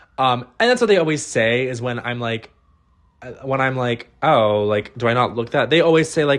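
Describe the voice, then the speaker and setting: A man with a Midwestern American accent speaks at medium pitch with an animated tone. His pace is fairly quick, and the recording is very clean with a silent background. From US Midwest, Ohio. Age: 20s. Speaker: podcast host. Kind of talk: solo comedy podcast monologue.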